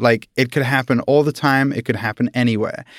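In a very clean recording with a silent background, a man with a British accent talks at a medium pitch and with fairly even intonation. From UK. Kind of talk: casual chat.

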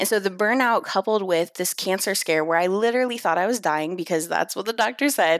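A normal speaking voice from a woman at medium pitch, with ordinary pitch variation and a fairly quick pace. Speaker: email marketer. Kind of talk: casual interview.

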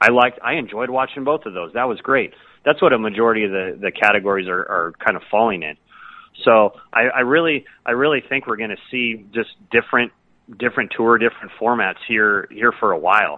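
A man's normal speaking voice with an American accent, medium pitch, ordinary pitch variation and a fairly quick pace. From US West Coast, San Diego. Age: 40s. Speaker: golf pro. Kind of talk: casual chat.

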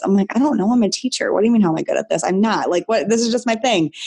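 With a Midwestern American accent, a woman speaks in a dark, mellow tone with lively intonation. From Michigan, US Midwest. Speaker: nutrition and business coach, former teacher. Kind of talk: casual interview chat. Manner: animated.

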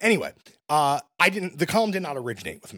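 The voice has a bright, sharp tone with vocal fry and very wide pitch swings. The sound is dry and close with no echo. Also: man. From Brooklyn, New York. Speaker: music critic. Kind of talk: casual chat.

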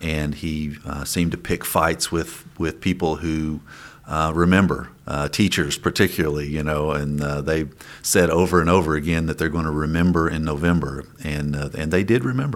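With an Appalachian accent, a man speaks at a moderate pace in a very deep, low pitch with fairly even intonation. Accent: Appalachian Kentucky. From eastern Kentucky mountains. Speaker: state legislator. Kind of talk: interview. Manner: halting, many fillers.

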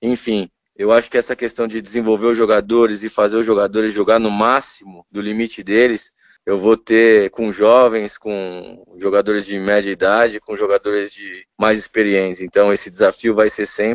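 A man speaks in a fairly low, monotone voice with flat intonation and a dry, close sound with no echo. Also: moderate pace, quiet background. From São Paulo, Brazil. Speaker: basketball coach. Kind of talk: interview. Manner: casual.

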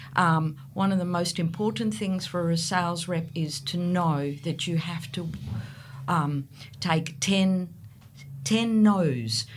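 A woman speaks at a very slow pace. Her pitch is fairly low, with ordinary variation. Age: 60s. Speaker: real estate agent. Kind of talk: casual interview.

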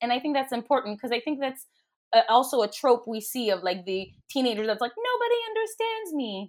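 In a normal speaking voice, a woman talks at a moderate pace with a fairly high pitch. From Quebec, Canada. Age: 30s. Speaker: life coach. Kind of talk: casual chat.

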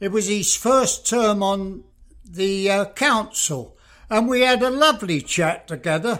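A man speaks in a raised, projected voice with an English accent. His pitch is high, his pace fairly slow, and the recording very clean with a silent background. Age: 80s+. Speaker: retirement home resident and co-host. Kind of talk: podcast interview.

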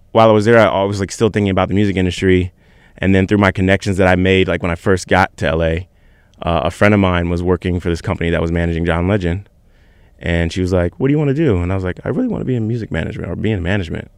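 At a very fast pace, a man speaks at a very deep, low pitch with ordinary pitch variation on a very clean recording with a silent background. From Virginia Beach, Virginia. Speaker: music manager. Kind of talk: casual chat.

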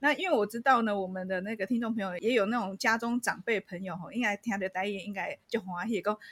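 A woman speaks at a fairly quick pace with hardly any pauses. Her pitch is medium, with ordinary pitch variation. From Taiwan, Changhua. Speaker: podcast host. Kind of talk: casual chat.

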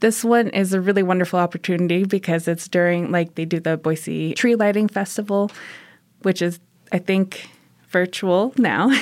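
A woman with an unremarkable speaking voice talks at medium pitch and a moderate pace with fairly even intonation. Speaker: nonprofit volunteer coordinator. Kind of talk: casual interview chat.

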